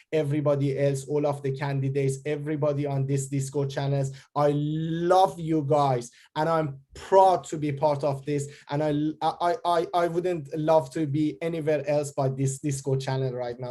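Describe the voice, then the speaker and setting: A man talks at a moderate pace in a fairly high, somewhat breathy voice. The tone is dark and mellow, the intonation fairly even. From Iran. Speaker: rap artist and candidate. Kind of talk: casual chat.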